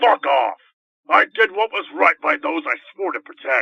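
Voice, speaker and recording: A man's gruff, raspy put-on character voice, raised and projected, high-pitched for a man, with very wide pitch swings at a moderate pace. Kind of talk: curt, swearing. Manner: gruff, irritated.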